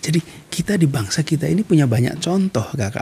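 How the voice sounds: With a husky, rough edge and a dark, mellow tone, a man talks at a fairly quick pace in a fairly high pitch with lively intonation.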